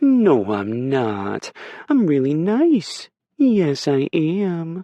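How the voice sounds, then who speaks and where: Using a put-on character voice, a man with a fairly high pitch talks at a very slow pace, his pitch swinging very widely. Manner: sugary sweet, coaxing.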